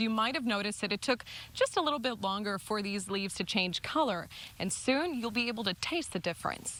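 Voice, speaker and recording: Over music in the background, a woman with an American accent speaks at a fairly quick pace in a fairly high pitch, with ordinary pitch variation. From Southern California. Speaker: TV news anchor and reporter. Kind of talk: TV news field report.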